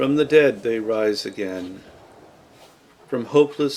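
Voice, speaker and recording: Speaking at a very slow pace with an American accent, a man uses medium pitch and fairly even intonation over noticeable background noise. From Massachusetts, USA. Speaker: poet. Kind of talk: poetry reading.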